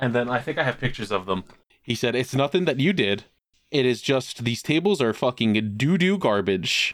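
With a normal speaking voice, the speaker keeps a moderate pace and very even loudness. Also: man, medium pitch for a man, lively intonation. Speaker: podcast host. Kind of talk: casual chat.

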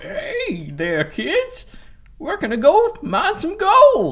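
A put-on character voice sits at an extremely high pitch. It moves at a very slow pace.

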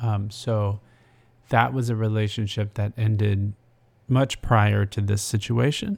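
The recording is very clean, with a silent background. A man with an unremarkable speaking voice talks at a fairly low pitch with fairly even intonation. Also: fairly slow pace. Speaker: podcast co-host, writer-producer. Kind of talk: casual chat.

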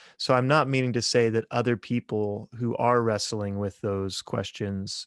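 An unremarkable speaking voice from a man with an American accent, fairly even intonation, and a dry, close sound with no echo over a quiet background. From Kansas, US Midwest. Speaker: theology professor. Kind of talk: casual interview.

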